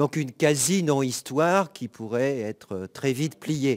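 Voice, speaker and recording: Recorded very cleanly with a silent background and a dry, close sound with no echo, a man speaks with lively intonation. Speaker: law professor. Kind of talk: conference talk. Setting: conference with audience.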